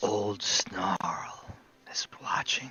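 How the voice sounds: In a put-on character voice, a man whispers in a raspy tone.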